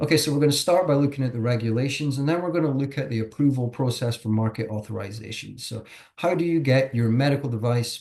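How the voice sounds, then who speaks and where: A man speaks at a very fast pace with hardly any pauses. His voice is somewhat breathy. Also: medium pitch for a man, ordinary pitch variation. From Scotland. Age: 40s. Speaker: regulatory consultant. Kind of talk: webinar presentation. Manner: hesitant, many fillers.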